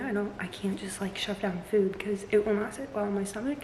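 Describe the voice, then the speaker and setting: A woman speaks at a fairly quick pace with fairly even intonation. Room echo is audible, and background noise is noticeable. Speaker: fitness vlogger. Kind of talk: casual vlog. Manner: chatty, filler-heavy.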